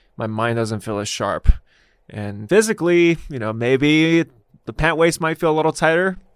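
The recording is very clean, with a silent background and a dry, close sound with no echo. A man with fairly high pitch talks at a moderate pace, his pitch swinging very widely. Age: 30s. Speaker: fitness and nutrition coach. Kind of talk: casual interview.

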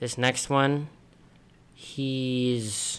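A man is speaking. His pitch is medium. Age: young. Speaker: podcast host. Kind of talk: casual chat.

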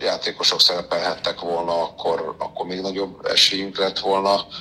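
A man keeps a moderate pace while noticeable background noise sounds around him. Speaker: sports newspaper editor-in-chief. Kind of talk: interview. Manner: hesitant fillers, repeated words.

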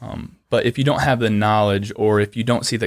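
Recorded dry and close with no echo against a silent background, the audio is very clean. A man with an American accent speaks at a fairly low pitch with fairly even intonation. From northern Ohio, US Midwest (Lucas, near Mansfield). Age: 30s. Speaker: union construction laborer and training instructor. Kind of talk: interview. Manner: halting, many fillers.

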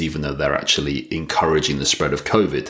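Over noticeable background noise, a man with a British accent speaks at a very fast pace. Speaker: podcast host. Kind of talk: solo monologue podcast.

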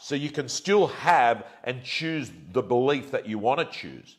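Here is a man with an Australian accent. He talks at a very slow pace. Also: very clean recording, silent background. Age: 50s. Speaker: real estate agent and livestream host. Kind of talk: livestream rant to viewers. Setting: at home.

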